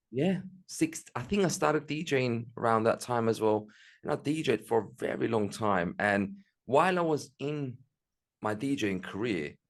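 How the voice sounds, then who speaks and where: A man's medium-pitched voice at a moderate pace, very wide pitch swings, and a quiet background. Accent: Turkish Cypriot. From Northern Cyprus. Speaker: music promoter and entrepreneur. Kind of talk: interview.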